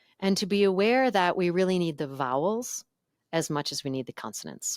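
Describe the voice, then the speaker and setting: A normal speaking voice from a woman, fairly low in pitch, with lively intonation and a fairly quick pace, dry and close with no echo, on a very clean recording with a silent background. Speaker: voice and communication coach. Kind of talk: podcast interview.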